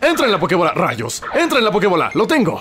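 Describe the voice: A cartoonish character voice at a fast pace, with very wide pitch swings and a fairly bright tone. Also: man, high pitch for a man.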